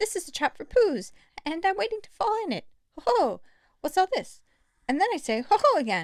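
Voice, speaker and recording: Using a squeaky put-on character voice at an extremely high pitch, a woman talks at a fairly quick pace with very wide pitch swings and long, frequent pauses. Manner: fast, flustered.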